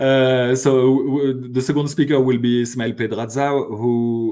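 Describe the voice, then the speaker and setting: Recorded very cleanly against a silent background, a man with a French accent speaks at a moderate pace. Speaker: sociology professor and conference organizer. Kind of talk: podcast interview. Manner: halting, many fillers and restarts.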